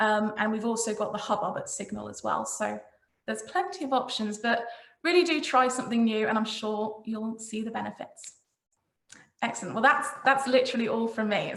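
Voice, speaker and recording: Audible room echo around a woman's fairly high-pitched voice with normal pitch movement. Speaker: marketing consultant. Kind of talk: presentation. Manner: fast.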